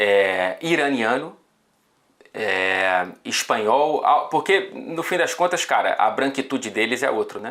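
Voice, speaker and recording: The pitch swings very widely. The pace is very slow. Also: man. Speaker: football journalist. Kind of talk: casual chat.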